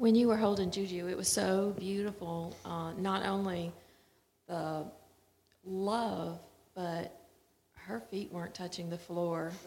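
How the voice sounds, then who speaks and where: A woman's medium-pitched voice, fairly slow and fairly even in intonation, with long, frequent pauses. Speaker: congregation member. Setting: church.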